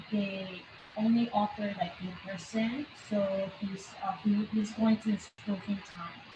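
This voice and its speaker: A woman of medium pitch with a non-native accent, very slow in pace and monotone, flat in intonation. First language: not English. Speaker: parent. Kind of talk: casual chat.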